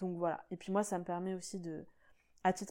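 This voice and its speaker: The tone of this woman's voice is dark and mellow. She speaks at medium pitch and a moderate pace. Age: 20s. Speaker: podcast host. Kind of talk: solo monologue podcast.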